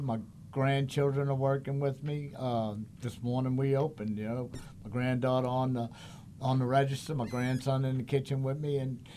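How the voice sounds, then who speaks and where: The voice has a dark, mellow tone and a monotone, flat intonation. It moves at a moderate pace. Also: man. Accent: New Orleans. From New Orleans. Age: old. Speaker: chef. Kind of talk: casual chat.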